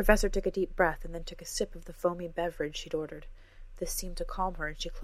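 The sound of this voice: This is an unforced reading voice. It carries the text plainly.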